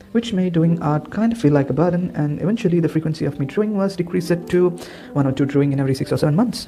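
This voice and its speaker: A man with a non-native accent and a fairly high pitch talks at a very fast pace. His intonation is lively, and noticeable background noise can be heard. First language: not English. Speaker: art YouTuber. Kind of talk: voiceover narration.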